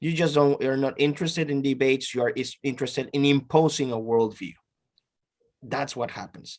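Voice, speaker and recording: Speaking with a Peruvian accent, a man uses a fairly high voice and fairly even intonation at a fairly quick pace. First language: Spanish. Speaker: professor. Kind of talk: interview.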